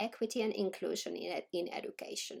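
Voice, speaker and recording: A woman talks at a fairly quick pace. She speaks with a Finnish accent. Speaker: education researcher. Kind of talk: scripted narration. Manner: formal.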